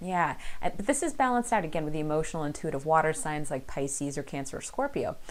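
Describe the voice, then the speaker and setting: At a very fast pace, a woman talks with lively intonation. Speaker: tarot card reader. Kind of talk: tarot reading monologue. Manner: animated.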